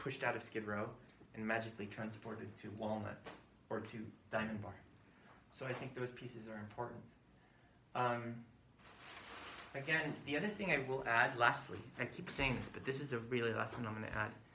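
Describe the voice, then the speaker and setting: Amid audible room echo and noticeable background noise, a man with a medium pitch talks at a fairly quick pace with fairly even intonation and long, frequent pauses. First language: Spanish. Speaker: community health worker trainer. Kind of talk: training session.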